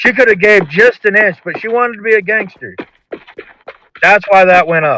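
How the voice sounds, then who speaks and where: The speaker uses a raised, projected voice at a moderate pace, with ordinary pitch variation and long, frequent pauses. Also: man. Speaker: roleplay gamer. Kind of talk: heated debate. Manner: loud.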